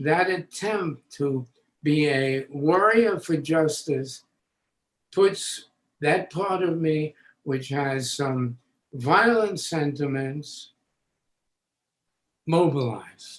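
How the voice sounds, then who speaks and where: The speaker has an American accent and talks at a very slow pace, with long, frequent pauses. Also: man, fairly high pitch for a man, ordinary pitch variation. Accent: Bronx accent, comes back when excited. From New York City, the Bronx. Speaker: educator and author. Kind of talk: interview.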